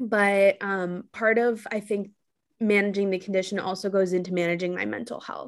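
With an American accent, a woman talks at a moderate pace in an ordinary speaking voice, her pitch medium and her intonation fairly even. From New York City. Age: 20s. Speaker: content creator and mental health advocate. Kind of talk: casual interview.

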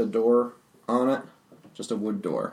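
A man's normal speaking voice at a medium pitch and a fairly slow pace. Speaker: game master. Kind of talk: tabletop role-playing game session, casual.

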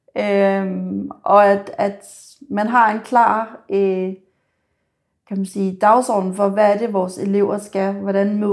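The voice belongs to a woman. She keeps her intonation flat and monotone. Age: 30s. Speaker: care assistant student. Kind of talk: on-the-job talk with a resident; interview. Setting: nursing home.

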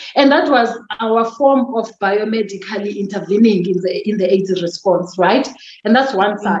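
A woman speaks with a South African accent. Her pitch is medium. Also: ordinary pitch variation, moderate pace. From Eastern Cape, South Africa. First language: Xhosa. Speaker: podcast guest, mother and professional. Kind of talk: casual interview chat, sharing personal money story. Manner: reflective, relaxed, candid.

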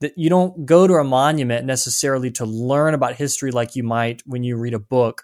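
In a normal speaking voice, a man with an American accent talks at a fairly quick pace, medium in pitch with ordinary pitch variation, on a very clean recording with a silent background. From US South. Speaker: writer and researcher. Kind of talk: interview.

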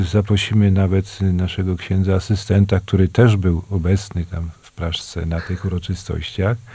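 The voice is dark and mellow in tone, somewhat breathy, with a monotone, flat intonation. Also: man, very deep, low pitch for a man, moderate pace. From Poland, Częstochowa area (Kłomnice). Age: old. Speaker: radio show host. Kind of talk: casual radio chat.

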